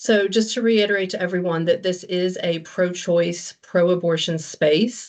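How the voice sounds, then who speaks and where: The speech moves at a moderate pace with hardly any pauses. Its intonation stays fairly even. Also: woman, medium pitch for a woman. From United States. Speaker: reproductive rights activist and former midwife. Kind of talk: online workshop presentation. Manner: hesitant, with frequent fillers.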